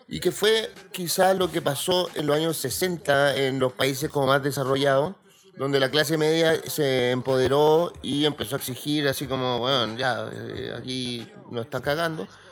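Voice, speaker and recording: A man talks at a fairly slow pace with a Chilean accent. His pitch is fairly high. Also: ordinary pitch variation. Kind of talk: casual chat.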